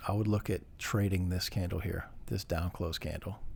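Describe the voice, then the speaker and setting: A man speaks at a very deep, low pitch. His pace is moderate and his voice somewhat breathy. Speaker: day trader. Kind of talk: tutorial. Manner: casual, with fillers.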